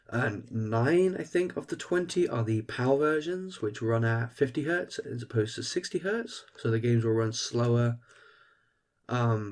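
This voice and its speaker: Man with a British accent, medium pitch, fairly slow pace and lively intonation. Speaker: gaming youtuber. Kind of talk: unboxing video. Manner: hesitant, many fillers.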